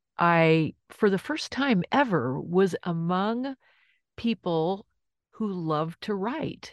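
Against a quiet background with a dry, close sound and no echo, a woman uses lively intonation in a fairly low pitch at a very slow pace. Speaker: lawyer and poet. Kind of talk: interview. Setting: home closet studio.

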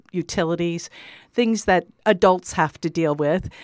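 The speaker has a normal speaking voice, talking at a moderate pace with ordinary pitch variation in a dry, close sound with no echo on a very clean recording with a silent background. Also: woman. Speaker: theater co-founder and actor. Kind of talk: radio interview.

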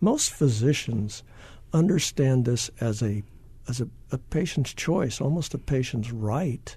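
A man talks at a medium pitch with a dark, mellow tone that is somewhat breathy. His pace is fairly slow and his pitch varies in an ordinary way. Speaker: oncologist. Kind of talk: panel discussion.

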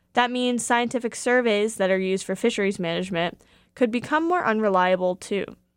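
A woman in an ordinary speaking voice talks fairly quickly at a fairly high pitch with ordinary pitch variation, on a very clean recording with a silent background. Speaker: radio reporter. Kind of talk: formal newsreading, scripted radio feature. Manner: formal; measured and clear.

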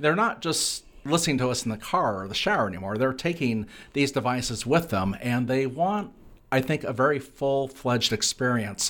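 The speaker is a man with a plain, everyday voice at medium pitch. He talks at a moderate pace with lively intonation. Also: very clean recording, silent background. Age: 50s. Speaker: radio reporter and journalism professor. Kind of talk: interview.

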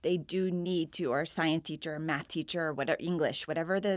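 A woman's very deep, low voice with ordinary pitch variation, on a very clean recording with a silent background. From Florida and Virginia, US. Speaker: education professor and associate dean. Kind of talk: interview.

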